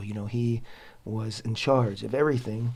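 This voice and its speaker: A man speaks at a medium pitch, sounding somewhat breathy. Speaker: Torah teacher and show host. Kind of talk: religious teaching talk. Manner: halting, many fillers.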